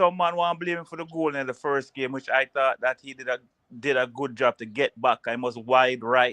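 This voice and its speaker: A man with a Jamaican accent speaks at a moderate pace and a medium pitch, with ordinary pitch variation. His tone is bright and sharp, and the sound is dry and close with no echo. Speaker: football pundit. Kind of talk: casual chat.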